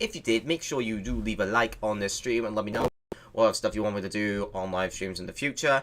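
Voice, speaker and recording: The man has an unremarkable speaking voice. His medium pitch shows ordinary variation. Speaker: youtuber reacting to fan film. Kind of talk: live stream reaction outro.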